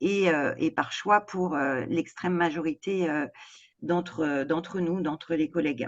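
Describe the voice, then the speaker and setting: Against a quiet background, a woman speaks at a fairly low pitch in a dry, close sound with no echo. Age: 60s. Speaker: home care worker. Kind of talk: interview. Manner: halting, many hesitations.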